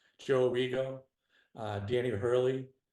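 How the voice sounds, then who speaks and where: Talking at a fairly slow pace, a man speaks with an American accent. His medium-pitched voice has fairly even intonation. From Boston area, Massachusetts. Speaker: retired federal special agent. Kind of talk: interview conversation.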